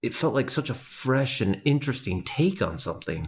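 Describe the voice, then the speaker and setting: A man's voice comes through somewhat breathy. His pitch swings very widely. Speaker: podcast co-host. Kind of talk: casual chat. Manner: kept quiet to not wake baby; animated.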